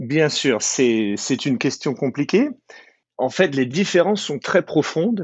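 Lively intonation marks this man's fairly high voice as he speaks at a very slow pace. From France, moved to the US at 15. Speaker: business lawyer. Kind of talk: interview.

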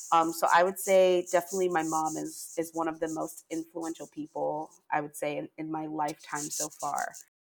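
A woman's fairly low, monotone, flat voice in an American accent, at a moderate pace with hardly any pauses. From Pennsylvania. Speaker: talent management professional. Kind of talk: interview.

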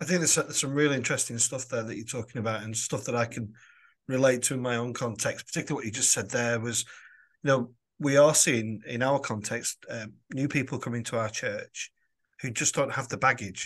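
A man with a Lancashire accent talks at a very fast pace in a medium pitch, his intonation fairly even, against a quiet background. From Lancashire, northern England. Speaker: podcast host and parish priest. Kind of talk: interview.

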